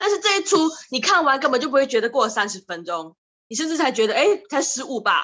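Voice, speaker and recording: Raised and projected, a woman's high voice races at a very fast pace with very wide pitch swings and a bright, sharp tone. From Malaysia. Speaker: drama student. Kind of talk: casual chat.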